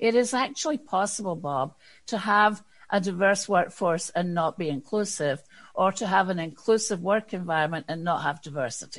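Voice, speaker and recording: At a moderate pace and medium pitch, a woman with a Scottish accent uses lively intonation against a quiet background. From Scotland. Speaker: diversity and inclusion consultant. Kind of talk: interview.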